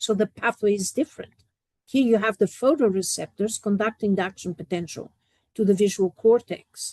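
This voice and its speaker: A woman with a Portuguese accent, a dark, mellow tone, medium pitch and ordinary pitch variation, at a moderate pace, in dry, close sound with no echo. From Portugal. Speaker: professor. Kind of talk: lecture.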